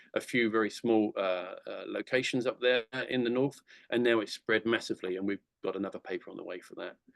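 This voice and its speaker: A man with an English accent talks at a very fast pace with big swings in loudness, in a dry, close sound with no echo. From England. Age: 60s. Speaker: conservation charity director giving a talk. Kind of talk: lecture. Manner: halting.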